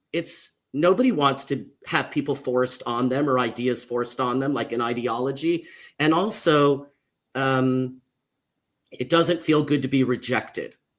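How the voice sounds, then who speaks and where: With an American accent, a man speaks at a medium pitch and a moderate pace, using fairly even intonation in an ordinary speaking voice. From US, Mexican American family. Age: 50s. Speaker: social worker and author. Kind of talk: panel discussion. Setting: livestream panel.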